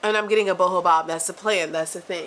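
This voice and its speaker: A woman's voice over noticeable background noise. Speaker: vlogger, dance educator. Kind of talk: casual vlog monologue. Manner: animated, fast; stutters when worked up.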